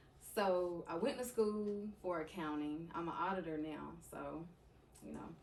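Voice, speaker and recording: A woman with an American accent speaks at a fairly low pitch with ordinary pitch variation. Noticeable background noise and audible room echo surround her voice. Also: fairly slow pace. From eastern North Carolina (Bailey). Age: 20s. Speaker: podcast guest, content creator. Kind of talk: casual interview conversation.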